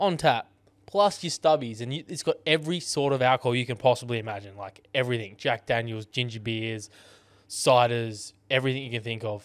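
A man with an Australian accent, medium pitch and ordinary pitch variation, at a fairly quick pace, with big swings in loudness. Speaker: podcast co-host. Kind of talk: casual chat.

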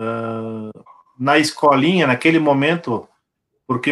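A normal speaking voice goes at a moderate pace, its intonation fairly even. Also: man, very clean recording, silent background. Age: 40s. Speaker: deaf sports handball coach. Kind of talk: casual chat.

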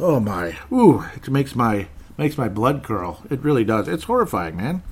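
An American-accented man speaks at medium pitch with very wide pitch swings. Noticeable background noise runs behind him. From Minnesota, US. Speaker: political podcast host. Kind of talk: casual monologue.

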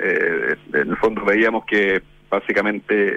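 There is noticeable background noise. A man's voice sounds dry and close, with no echo. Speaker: business association president. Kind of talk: radio interview.

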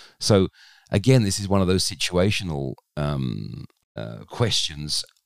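In a British accent, a man speaks with a very deep, low pitch and very wide pitch swings, in a dry, close sound with no echo. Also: very clean recording, silent background. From UK. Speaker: service designer and theater maker. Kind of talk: podcast interview.

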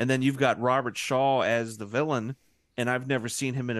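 A man speaks fairly quickly at a medium pitch with fairly even intonation, a plain, everyday voice. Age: 30s. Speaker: podcast co-host, guest. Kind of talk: casual chat.

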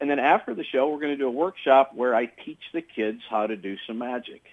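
A man's normal speaking voice at a medium pitch, with ordinary pitch variation. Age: 50s. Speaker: comedy magician. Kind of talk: radio interview. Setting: phone call.

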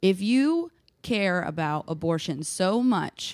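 A woman with an American accent, very slow pace and lively intonation, on a very clean recording with a silent background. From US South, Nashville, Tennessee. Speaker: artist and activist. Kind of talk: casual chat.

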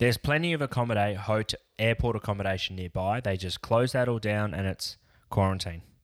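Fairly low in pitch, a man talks at a fairly quick pace with ordinary pitch variation. The sound is dry and close with no echo, in a very clean recording over a silent background. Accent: Australian. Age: 30s. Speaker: podcast co-host. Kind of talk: casual chat.

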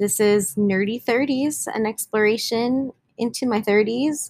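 A woman speaks very slowly at a fairly high pitch, with ordinary pitch variation. Her loudness stays very even, and the sound is dry and close with no echo. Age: 20s. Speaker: podcast host. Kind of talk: podcast trailer monologue. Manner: casual, with many fillers.

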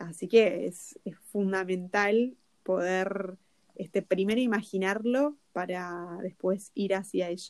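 Speaking very slowly in a Rioplatense accent, a woman keeps a medium pitch with ordinary pitch variation. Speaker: podcast co-host, personal development coach. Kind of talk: casual chat. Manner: halting, many repetitions.

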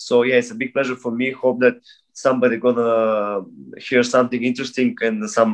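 A man with a Bulgarian accent speaks at a medium pitch in a flat monotone. The background is quiet. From Bulgaria, moved to Russia at 10. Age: 30s. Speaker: breakdancer. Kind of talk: casual interview. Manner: halting.

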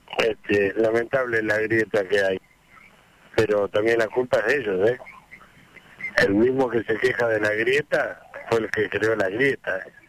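Amid noticeable background noise, a man speaks at a fairly slow pace, leaving long, frequent pauses. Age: 60s. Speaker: retired bus driver, radio caller. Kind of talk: call-in chat.

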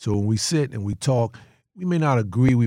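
Talking at a fairly quick pace with an American accent, a man uses lively intonation, a medium pitch and a dark, mellow tone. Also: very clean recording, silent background. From North Carolina. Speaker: sheriff and former federal agent. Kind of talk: casual chat.

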